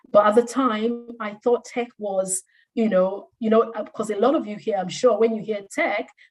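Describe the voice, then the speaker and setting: A somewhat breathy woman's voice at a fairly high pitch. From Nigeria. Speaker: career coach. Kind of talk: career talk testimony.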